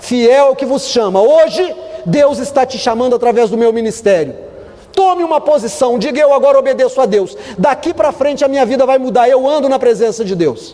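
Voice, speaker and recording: Speaking at a moderate pace with an extremely high pitch, a man uses an animated tone and lively intonation over noticeable background noise. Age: 50s. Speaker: pastor. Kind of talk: sermon.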